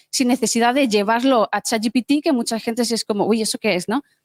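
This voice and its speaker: Very fast speech from a woman, with a dry, close sound and no echo. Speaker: hackathon participant presenting a project. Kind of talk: project demo pitch. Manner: hesitant, with many fillers.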